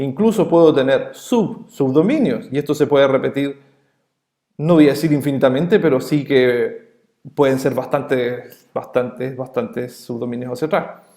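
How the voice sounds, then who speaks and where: In a Chilean accent, the voice carries a dark, mellow tone. It moves at a moderate pace with ordinary pitch variation. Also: man, fairly high pitch for a man. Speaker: networking instructor. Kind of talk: lecture. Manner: hesitant fillers.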